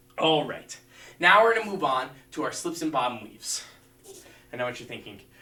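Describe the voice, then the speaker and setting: Amid noticeable background noise and audible room echo, a man with a fairly high pitch and lively intonation speaks with long, frequent pauses and big swings in loudness. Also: fairly quick pace. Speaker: martial arts instructor. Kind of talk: live-streamed fitness class instruction. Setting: livestream video class.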